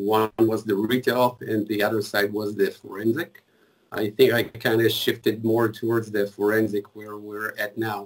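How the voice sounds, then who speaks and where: With an Israeli accent, a man talks at a fairly low pitch in a monotone, flat way. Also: moderate pace. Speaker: mobile forensics engineer. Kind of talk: casual interview.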